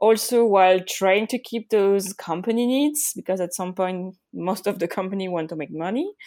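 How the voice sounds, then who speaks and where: In a French accent, a woman at medium pitch speaks at a moderate pace with ordinary pitch variation, a dark, mellow tone and hardly any pauses, on a very clean recording with a silent background. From France. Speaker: UX designer. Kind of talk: interview.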